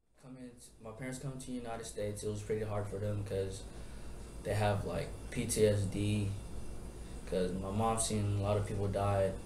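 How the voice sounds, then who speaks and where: With an American accent, a man talks at a fairly quick pace in a fairly low, monotone voice with flat intonation, leaving long, frequent pauses against noticeable background noise. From Tacoma, Washington. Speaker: child of refugees telling his story. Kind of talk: interview answer. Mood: serious, reflective. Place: classroom. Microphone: camera far.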